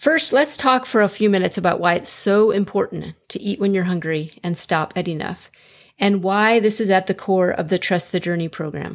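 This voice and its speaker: This woman has a normal speaking voice at a medium pitch, with ordinary pitch variation and a moderate pace. The recording is very clean, with a silent background. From US Midwest, Chicago. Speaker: weight loss coach and podcast host. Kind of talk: solo podcast monologue, coaching advice.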